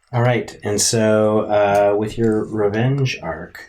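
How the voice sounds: A man with a fairly low pitch and slightly mellow tone, fairly even in intonation, with audible room echo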